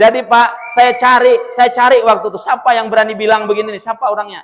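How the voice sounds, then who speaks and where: The tone is animated. The pace is very fast. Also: man. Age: 30s. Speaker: Islamic preacher. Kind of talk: sermon.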